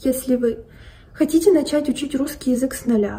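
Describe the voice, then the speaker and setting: Her voice high, a woman talks at a moderate pace with fairly even intonation. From Russia. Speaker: language tutor. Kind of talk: self-introduction video. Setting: recorded video. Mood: calm, friendly. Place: home room. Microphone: phone near.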